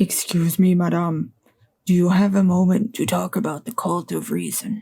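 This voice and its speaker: Doing a put-on character voice, a woman speaks raspily at a medium pitch and moderate pace with fairly even intonation. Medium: game stream. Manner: earnest, pushy.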